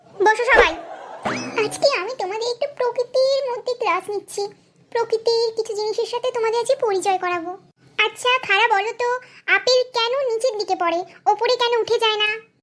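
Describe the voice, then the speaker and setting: A woman speaks in a cartoonish character voice at an extremely high pitch. Her intonation stays fairly even at a moderate pace. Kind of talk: comic cartoon dubbing. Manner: scolding, exasperated.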